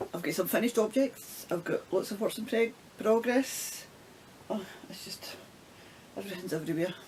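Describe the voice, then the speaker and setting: A woman with a Scottish accent speaks with ordinary pitch variation, big swings in loudness, and long, frequent pauses. Noticeable background noise runs underneath. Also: fairly high pitch for a woman, moderate pace. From Scotland. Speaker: knitting vlogger. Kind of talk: casual talk to camera.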